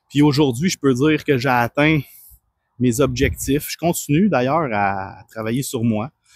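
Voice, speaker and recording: Fairly slow speech in a Quebec accent with ordinary pitch variation, on a very clean recording with a silent background and a dry, close sound with no echo. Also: man, medium pitch for a man. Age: 30s. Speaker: personal trainer. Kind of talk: personal testimony. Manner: calm.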